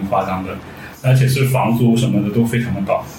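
Amid noticeable background noise and audible room echo, a man with a Guangdong accent speaks at a very fast pace. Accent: Guangdong-accented Mandarin. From Guangdong, China. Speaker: fashion and food blogger. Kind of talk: casual chat.

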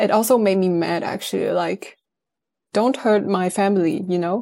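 Speaking at a moderate pace, a woman has a dark, mellow tone and fairly even intonation. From northern Netherlands, small town. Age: 20s. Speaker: recent finance graduate. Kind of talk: interview. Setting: remote call.

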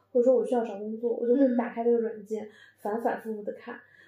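A woman speaks with a high pitch and a dark, mellow tone. She has a slight northeastern Chinese accent. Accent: slight northeastern Mandarin. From Northeast China. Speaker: podcast host. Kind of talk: casual chat.

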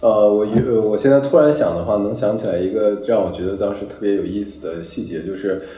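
Talking at a fairly quick pace with hardly any pauses, a man with a fairly low voice and ordinary pitch variation is heard over noticeable background noise and audible room echo. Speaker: digital nomad. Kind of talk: casual chat. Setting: outdoors in Bali.

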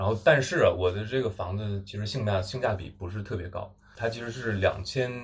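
A man speaks at a fairly quick pace with a fairly low pitch. His voice is somewhat breathy. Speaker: podcast co-host, graduate student. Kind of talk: casual chat. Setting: rented flat in Seoul.

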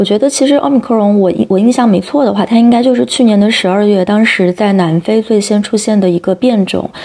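A woman with a plain, everyday voice, medium pitch, ordinary pitch variation and a fairly quick pace. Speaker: podcast host. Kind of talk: interview.

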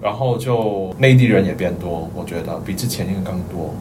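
A man with a Cantonese accent at a moderate pace, ordinary pitch variation, noticeable background noise and audible room echo. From Hong Kong. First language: Cantonese (speaking Chinese). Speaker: office worker. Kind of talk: casual chat.

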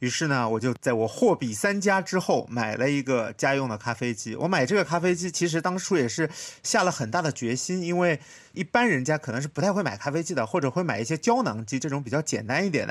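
On a very clean recording with a silent background, a man talks at a very fast pace. His fairly high voice makes very wide pitch swings. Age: 30s. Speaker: podcast host, designer. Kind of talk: casual chat.

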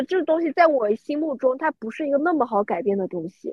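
Her pitch high, a woman speaks with very wide swings in pitch. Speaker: UX designer. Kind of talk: casual chat.

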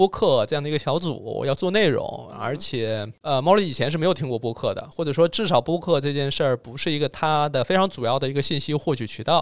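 An unremarkable speaking voice at a fairly quick pace. There are hardly any pauses. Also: man, fairly high pitch for a man, ordinary pitch variation. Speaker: podcast host. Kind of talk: casual chat. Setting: studio by a window on a cold snowy day.

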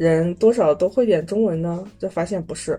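This woman has a dark, mellow tone, ordinary pitch variation and a moderate pace. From Inner Mongolia, Baotou. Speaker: traveler sharing trip experience. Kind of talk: casual chat. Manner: hesitant, many fillers.

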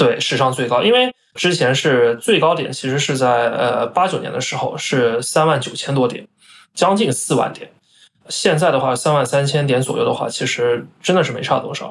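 Keeping a moderate pace, a man with an unremarkable speaking voice talks at a fairly high pitch with ordinary pitch variation. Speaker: finance professional. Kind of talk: interview.

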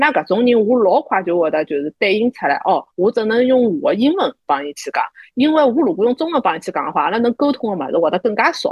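Vocal fry runs through this woman's fairly high voice. She speaks at a very fast pace with very wide pitch swings. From Shanghai. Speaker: podcast co-host. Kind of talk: casual chat.

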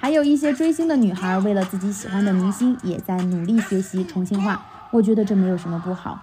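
A woman talks at a fairly quick pace in a medium pitch, with noticeable background noise behind her. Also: lively intonation. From Chongqing, China. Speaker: stand-up comedian. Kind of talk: scripted podcast monologue.

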